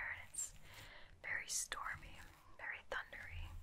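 A woman whispers, soft-spoken, at a fairly slow pace. Light background noise can be heard. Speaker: relaxation video host. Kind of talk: soft-spoken personal-attention roleplay. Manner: soft, hushed bedtime whisper. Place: home room.

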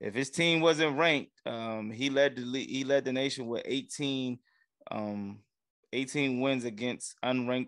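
The sound is dry, with no echo and a quiet background. A man speaks with fairly even intonation. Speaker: sports podcast co-host. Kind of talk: casual banter. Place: home room. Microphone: studio mic.

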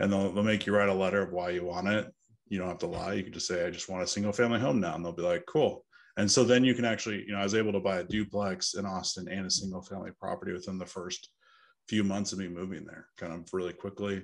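A man's fairly low voice with an American accent, a very fast pace, fairly even intonation and a quiet background. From Northern California. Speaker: co-living company founder; podcast guest. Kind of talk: interview. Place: home room. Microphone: earbuds.

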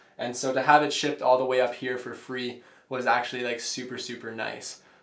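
The speech moves at a fairly quick pace. Room echo is audible. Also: man. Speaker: home gym product reviewer. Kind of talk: casual review monologue. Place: home room.

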